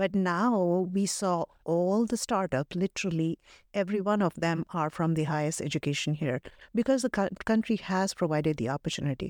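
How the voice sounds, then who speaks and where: A woman speaks in a fairly low voice at very even loudness. The sound is dry and close with no echo, and the recording is very clean over a silent background. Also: ordinary pitch variation, moderate pace. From Delhi, India. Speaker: tech leader. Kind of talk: interview conversation. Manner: halting, many fillers.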